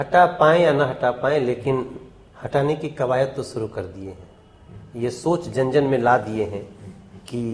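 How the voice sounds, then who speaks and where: Here a man speaks at medium pitch. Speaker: singer, actor and politician. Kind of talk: interview answer.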